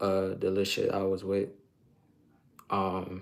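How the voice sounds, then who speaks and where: A man with a fairly low voice talks at a fairly slow pace. The recording is very clean, with a silent background. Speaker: streamer. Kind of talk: casual monologue. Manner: halting.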